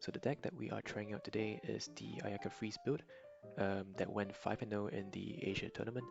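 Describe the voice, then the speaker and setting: Over background music, a man with a fairly low pitch speaks at a fairly quick pace with ordinary pitch variation. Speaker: card game content creator. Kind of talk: casual gameplay commentary.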